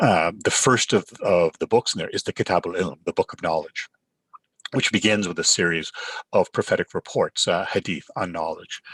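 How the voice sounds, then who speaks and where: Recorded dry and close with no echo, a man speaks at a moderate pace. He has a Canadian accent. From Canada. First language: Urdu. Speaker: professor. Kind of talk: sermon. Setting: virtual online gathering. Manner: halting, frequent fillers.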